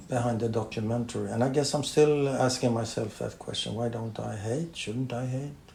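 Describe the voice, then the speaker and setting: A somewhat breathy man at a moderate pace with hardly any pauses, in audible room echo. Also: medium pitch for a man, fairly even intonation. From Sweden. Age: 70s. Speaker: journalist and author. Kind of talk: interview conversation. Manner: halting.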